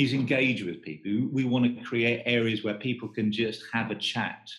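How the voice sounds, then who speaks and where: A man speaks in a normal speaking voice. His pitch is medium, with ordinary pitch variation. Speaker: stand design agency professional. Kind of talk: casual interview.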